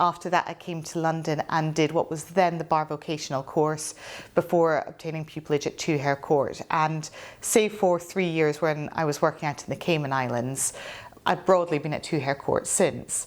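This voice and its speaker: Speaking in a Scottish accent, a woman talks at a moderate pace with a very deep, low pitch and fairly even intonation, in a very clean recording with a silent background. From Scotland. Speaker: barrister. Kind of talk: interview.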